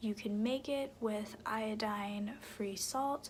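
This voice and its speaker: A soft-spoken woman whispers at a very slow pace. Noticeable background noise can be heard. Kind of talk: ASMR soft-spoken talk to camera about beauty products. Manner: soft-spoken, whispery.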